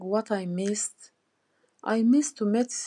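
A woman speaks with a Turkish accent at a medium pitch and ordinary pitch variation. Her tone is dark and mellow against a quiet background. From Turkey. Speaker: ESOL student. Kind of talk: self-recorded personal monologue. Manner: halting, non-native pauses.

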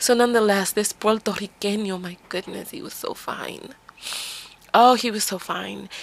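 Amid noticeable background noise, a woman with an American accent and fairly high pitch speaks at a moderate pace, with ordinary pitch variation and big swings in loudness. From the Bronx, New York. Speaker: podcast host and life coach. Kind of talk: solo podcast monologue. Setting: RV, off the grid.

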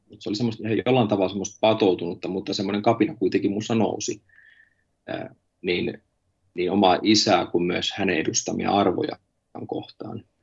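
Fairly low in pitch, a man talks at a moderate pace with fairly even intonation. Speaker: pastor. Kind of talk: interview about personal faith. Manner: halting, many filler words.

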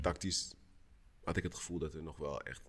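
With vocal fry and ordinary pitch variation, a man speaks at a very deep, low pitch. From Netherlands, Amsterdam Zuidoost. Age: 30s. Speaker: professional basketball player. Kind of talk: casual chat.

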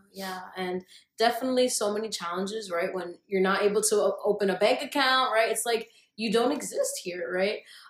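A woman's normal speaking voice, a normal speaking voice at a moderate pace with ordinary pitch variation. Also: medium pitch for a woman. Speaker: podcast interviewer. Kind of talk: casual interview conversation.

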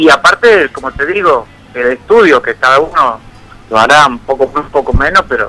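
Using lively intonation, a man talks at a moderate pace with a fairly high pitch. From Argentina, Tafí Viejo, Tucumán. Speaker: folk guitarist. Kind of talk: interview.

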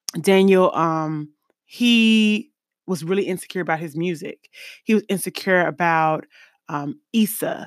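At a fairly slow pace, a woman with an unremarkable speaking voice, medium pitch and ordinary pitch variation is heard on a very clean recording with a silent background. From US East Coast, then Midwest. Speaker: podcast host. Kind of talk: casual monologue on live stream. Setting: recorded on Facebook Live. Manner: casual, filler-heavy.

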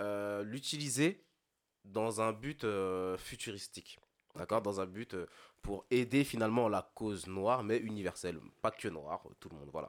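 An ordinary speaking voice moves at a fairly slow pace with ordinary pitch variation and big swings in loudness. The recording is very clean, with a silent background. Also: man, fairly low pitch for a man. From Ile-de-France, Antillean family. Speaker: podcast co-host. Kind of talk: casual chat.

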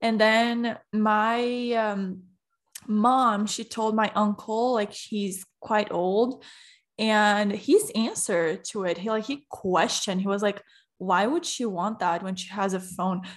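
A woman with a Portuguese accent speaks very slowly at a fairly high pitch. Her intonation stays fairly even. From Brazil. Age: 20s. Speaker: podcaster. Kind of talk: casual chat.

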